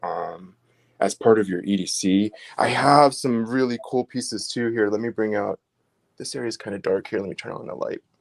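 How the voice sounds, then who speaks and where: Recorded with a dry, close sound and no echo, a man in an unremarkable speaking voice talks at medium pitch and a moderate pace with ordinary pitch variation. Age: 40s. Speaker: crystal carving seller. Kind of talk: casual chat.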